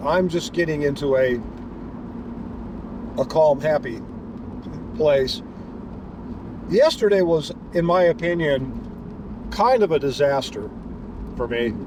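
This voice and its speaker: Amid noticeable background noise, a man speaks with a fairly high pitch. His pitch swings very widely, and he takes long, frequent pauses. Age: 60s. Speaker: delivery driver vlogger. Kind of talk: casual driving vlog narration. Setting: in a car. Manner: halting, many repetitions and fillers.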